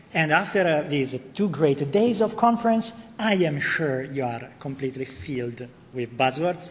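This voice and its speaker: Over noticeable background noise, a man with an Italian accent speaks at a moderate pace and a fairly high pitch, his voice making very wide pitch swings. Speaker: architect evangelist. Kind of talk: conference tech presentation. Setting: conference session stage with audience.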